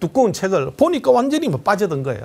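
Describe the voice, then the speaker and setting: Very wide pitch swings run through a man's speech. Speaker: lecturer. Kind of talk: lecture. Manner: confident, composed.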